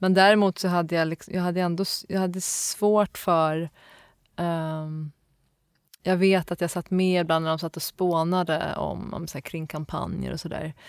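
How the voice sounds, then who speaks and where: A woman's fairly low, monotone voice with flat intonation at a moderate pace, in a very clean recording with a silent background. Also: dry, close sound with no echo. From Stockholm area, Sweden. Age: 30s. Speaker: graphic designer. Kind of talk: interview. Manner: hesitant, many fillers.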